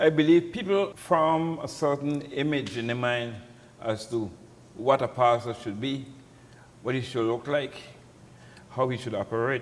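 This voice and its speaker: A man with a Crucian accent speaks with long, frequent pauses. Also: medium pitch for a man, ordinary pitch variation, moderate pace. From St. Croix, US Virgin Islands. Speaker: pastor. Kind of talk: interview. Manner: halting.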